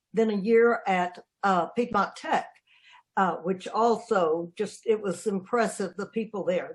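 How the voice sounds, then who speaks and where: A woman keeps a moderate pace and fairly even intonation. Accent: Southern US. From US South, Alabama (Cullman). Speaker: community group chair. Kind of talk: interview.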